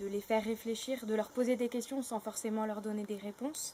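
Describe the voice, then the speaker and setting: Her intonation remains fairly even. The woman's pitch is fairly high. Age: 20s. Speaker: actress and theatre director. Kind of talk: interview monologue. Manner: halting, many hesitations.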